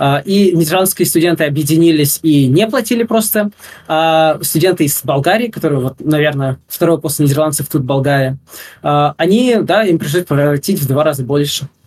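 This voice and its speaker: This man's voice sits fairly high, with ordinary pitch variation. He talks at a moderate pace and at a very even loudness. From Russia. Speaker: game programming student. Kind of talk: interview. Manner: hesitant, many fillers.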